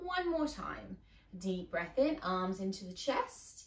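The voice belongs to a woman and carries audible room echo. Her pace is fairly slow. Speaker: exercise instructor. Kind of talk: guided exercise instruction. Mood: calm, encouraging. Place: home room. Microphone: camera far.

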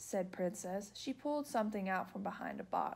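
What you hear is plain reading aloud.

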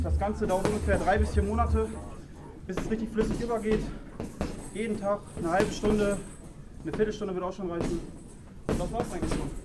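A man speaks at a fairly quick pace. Music plays in the background. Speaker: jump rope trainer. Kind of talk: tutorial. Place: gym. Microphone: camera far.

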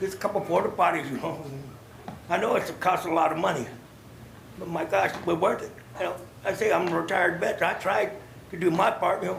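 A man with an American accent at a very fast pace, long, frequent pauses, audible room echo and noticeable background noise. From US Pacific Northwest, Salem Oregon. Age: 60s. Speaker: homeless retired veteran, public commenter. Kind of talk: public comment testimony. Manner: plain-spoken, repetitive filler 'you know'.

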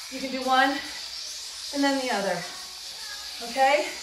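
Clear music plays in the background as a woman talks at a moderate pace in a high-pitched voice. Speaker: fitness instructor. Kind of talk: workout instruction. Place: home room. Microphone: camera far.

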